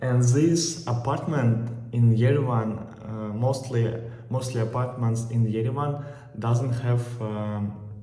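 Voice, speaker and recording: Speaking very slowly with fairly even intonation, a man with a Russian accent is heard over noticeable background noise. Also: medium pitch for a man. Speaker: travel vlogger. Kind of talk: casual talk to camera. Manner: hesitant, many filler pauses.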